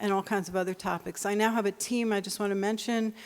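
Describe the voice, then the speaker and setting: In a normal speaking voice, a woman talks at a medium pitch with fairly even intonation. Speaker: municipal bond research analyst. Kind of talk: conference panel presentation.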